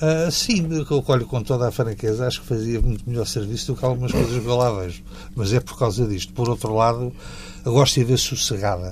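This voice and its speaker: Background noise comes through noticeably. Over it, a man talks fairly quickly. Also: medium pitch for a man, ordinary pitch variation. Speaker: university professor. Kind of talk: interview.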